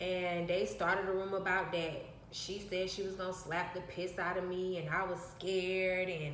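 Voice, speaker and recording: A woman of medium pitch talks at a moderate pace with hardly any pauses and flat, monotone intonation, with audible room echo and noticeable background noise. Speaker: vlogger. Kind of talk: personal storytelling. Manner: soft-spoken.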